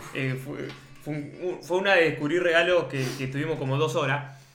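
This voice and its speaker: A man with a Rioplatense accent and fairly even intonation, amid noticeable background noise and audible room echo. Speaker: podcast co-host. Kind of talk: casual chat.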